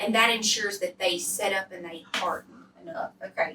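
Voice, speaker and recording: A woman with a Southern accent speaks at a fairly slow pace. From US South. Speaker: cooking show host. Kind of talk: cooking tutorial. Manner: animated.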